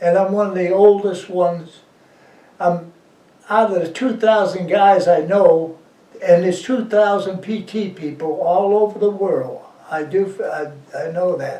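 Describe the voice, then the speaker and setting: With an American accent, a man talks at a fairly slow pace in a high pitch, with audible room echo and noticeable background noise. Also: fairly even intonation. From West Virginia. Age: 90s. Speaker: war veteran. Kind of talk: oral history interview. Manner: halting.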